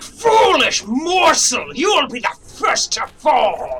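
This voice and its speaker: This is a put-on character voice. It bellows at a very slow pace. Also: man, extremely high pitch for a man. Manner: bellowing, menacing.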